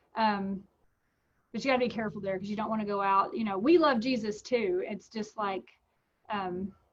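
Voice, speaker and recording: A somewhat breathy woman's voice, fairly high in pitch, at a moderate pace with ordinary pitch variation and long, frequent pauses. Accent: American. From Texas. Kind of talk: interview. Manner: casual, with many fillers and restarts.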